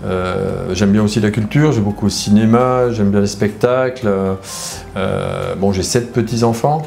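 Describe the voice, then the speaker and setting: Music plays in the background and there is audible room echo as a man talks at a fairly low pitch and a fairly slow pace. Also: ordinary pitch variation. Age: 60s. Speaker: former reality TV contestant. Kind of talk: interview. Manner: hesitant, many fillers.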